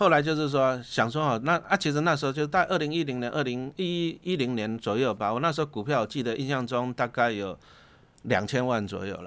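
A man with an unremarkable speaking voice talks at a fairly quick pace in a medium pitch, his intonation lively, on a very clean recording with a silent background. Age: 50s. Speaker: investment author, former teacher. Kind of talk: casual interview.

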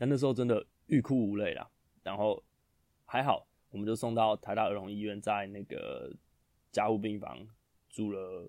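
On a very clean recording with a silent background, a man speaks with a fairly low pitch, a dark, mellow tone and fairly even intonation. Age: 30s. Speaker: podcast host, new father. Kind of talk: casual monologue, storytelling.

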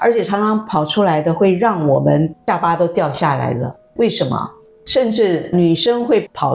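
Noticeable noise in the background beneath a lively, up-and-down intonation. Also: woman. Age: 60s. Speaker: former journalist, spiritual wellness teacher. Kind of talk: interview.

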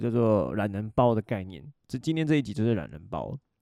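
Against a quiet background, a man talks at a very fast pace with a medium pitch, lively intonation and a dark, mellow tone. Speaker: podcast host. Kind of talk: casual solo chat.

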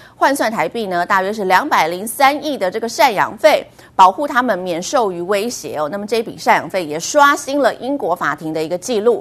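Fairly quick delivery with hardly any pauses and very wide pitch swings. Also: woman, fairly high pitch for a woman. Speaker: news anchor. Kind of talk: news reading.

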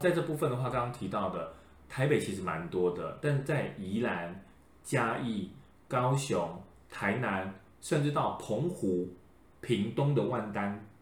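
A man with a somewhat breathy voice, lively intonation and a fairly slow pace, with audible room echo. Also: medium pitch for a man. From Taiwan, Changhua (Lukang/Erlin area). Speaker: podcast host, folklore expert. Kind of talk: casual chat.

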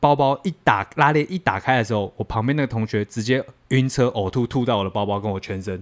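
Fairly quick with hardly any pauses, a man speaks at medium pitch with ordinary pitch variation, in a dry, close sound with no echo and a quiet background. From southern Taiwan. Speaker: podcast co-host acting as listener. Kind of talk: casual chat. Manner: animated, laughing often.

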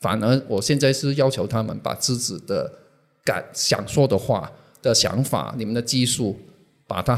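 Vocal fry colors a man's medium-pitched voice as he talks at a fairly slow pace. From Hong Kong. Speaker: social media manager, former magazine publisher. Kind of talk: interview. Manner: halting.

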